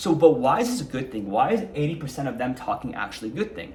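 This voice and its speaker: With audible room echo around him, a man speaks fairly quickly in a fairly high pitch that swings very widely. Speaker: self-help vlogger. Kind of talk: casual monologue to camera. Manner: calm, mellow delivery; casual with filler words.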